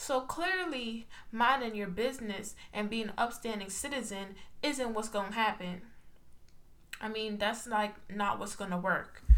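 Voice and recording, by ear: Amid noticeable background noise, a woman talks at a fairly slow pace with ordinary pitch variation.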